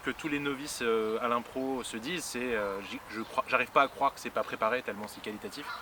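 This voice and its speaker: The man speaks at a moderate pace and medium pitch with ordinary pitch variation. Noticeable background noise runs underneath. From Paris region, France. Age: 30s. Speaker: improv actor. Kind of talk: interview. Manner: halting, many fillers.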